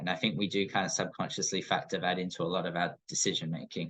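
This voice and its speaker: A man has a very deep, low pitch. He talks at a fairly quick pace. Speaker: paramedic educator. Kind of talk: recorded lecture. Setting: screen-recorded presentation. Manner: fast.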